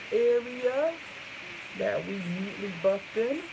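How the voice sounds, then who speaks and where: A woman's voice with lively intonation against noticeable background noise. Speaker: beauty vlogger. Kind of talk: live makeup tutorial. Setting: livestream. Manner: casual.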